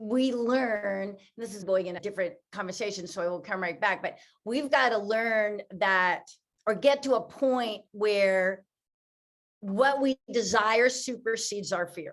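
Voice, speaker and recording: A woman speaks in a normal speaking voice at a fairly slow pace, with fairly high pitch and ordinary pitch variation. Her loudness swings widely. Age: 60s. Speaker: author and motivational speaker. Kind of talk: interview.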